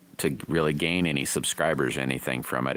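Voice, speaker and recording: A man speaks at a moderate pace in a very deep, low voice with vocal fry and fairly even intonation. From rural area, small country town. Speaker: livestreaming slingshot builder. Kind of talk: casual live stream chat.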